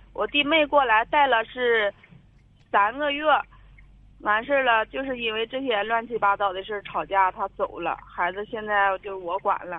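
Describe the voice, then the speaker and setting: A woman talks at a moderate pace with fairly high pitch. Her pitch varies in an ordinary way. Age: 30s. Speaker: caller seeking family advice. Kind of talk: phone-in advice call. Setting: phone call. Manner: quiet.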